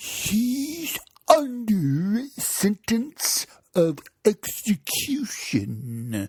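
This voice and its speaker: A put-on character voice, fairly high in pitch, moves at a very slow pace. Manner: low, secretive.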